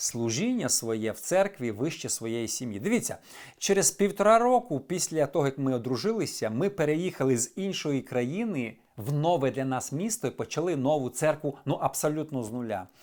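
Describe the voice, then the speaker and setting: A man's fairly high voice at a moderate pace, with very wide pitch swings, on a very clean recording with a silent background. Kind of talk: personal advice monologue. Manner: candid, conversational.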